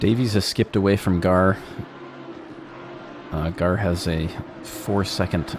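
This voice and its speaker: A very deep, low-pitched man at a fairly slow pace, fairly even intonation, long and frequent pauses, and noticeable background noise. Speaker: sim racing commentator and broadcast producer. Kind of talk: live race commentary.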